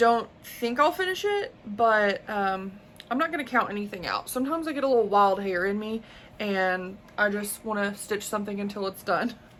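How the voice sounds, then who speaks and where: A woman speaks at a moderate pace in a Southern US accent. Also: medium pitch for a woman, ordinary pitch variation. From US South. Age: 20s. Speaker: crafting YouTuber. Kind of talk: casual show-and-tell vlog.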